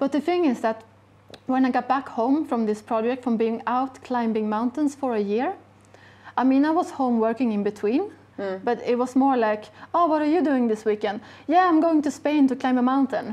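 Ordinary pitch variation runs through speech at a moderate pace. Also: woman, high pitch for a woman. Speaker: guest. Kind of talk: interview answer. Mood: warm, enthusiastic. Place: shop. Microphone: lapel.

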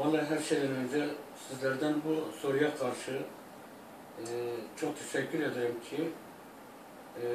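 Noticeable background noise and audible room echo surround a man's voice. He speaks at a moderate pace with a fairly high pitch. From Iraq (Turkmen). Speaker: singer. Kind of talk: interview answer. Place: home room. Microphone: camera far.

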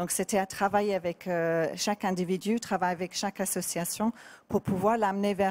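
A woman speaks in an English accent with monotone, flat intonation. Her tone is dark and mellow. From England. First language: English (speaking French). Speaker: artist; guest. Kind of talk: interview. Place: bar. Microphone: handheld.

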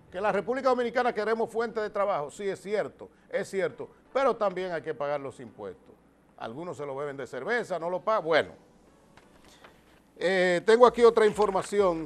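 A man with high pitch and lively intonation talks at a fairly quick pace, with big swings in loudness and long, frequent pauses. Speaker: TV host and announcer. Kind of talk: TV news commentary. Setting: TV studio. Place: studio. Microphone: lapel.

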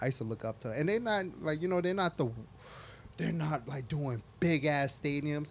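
With an American accent, a man speaks in an ordinary speaking voice, fairly high in pitch, at a moderate pace with lively intonation. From US East Coast. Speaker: podcast host and DJ. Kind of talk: casual chat.

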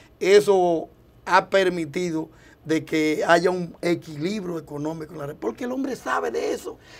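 Fairly slow speech against a quiet background. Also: man. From Dominican Republic, Santo Domingo; Dominican Republic. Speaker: presidential hopeful politician. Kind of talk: TV interview. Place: studio. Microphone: lapel.

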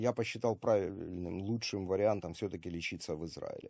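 A man's fairly low voice with a dark, mellow tone and fairly even intonation, dry and echo-free against a quiet background. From Ukraine (Kharkiv); Ukraine. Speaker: army volunteer medic and video blogger; video blogger. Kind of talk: video monologue to camera. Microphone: webcam.

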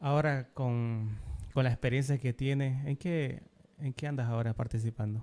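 A man talks with fairly even intonation in a dark, mellow tone. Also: medium pitch for a man, moderate pace. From Bolivia. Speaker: podcast host. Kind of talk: interview. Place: studio. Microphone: studio mic.

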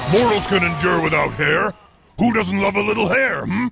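Shouting in a put-on character voice, a man delivers his lines at a high pitch and a moderate pace while faint music plays in the background. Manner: theatrical, bombastic.

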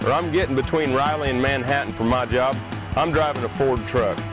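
Over clear music in the background, a man speaks at a fairly quick pace in a dry sound with no echo. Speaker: show host doing sponsor ad. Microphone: lapel.

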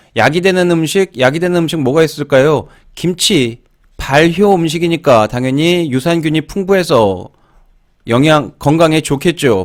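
In a very clean recording with a silent background, a man with a normal speaking voice talks at a fairly slow pace, with fairly high pitch and ordinary pitch variation. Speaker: English exam-prep teacher. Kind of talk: lecture.

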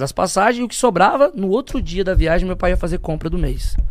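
The pace is very fast. A man's pitch rises and falls very widely. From Brazil, poor urban outskirts. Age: 30s. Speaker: guest. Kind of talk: casual interview, personal testimony. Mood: emotional, earnest storytelling. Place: studio. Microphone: studio mic.

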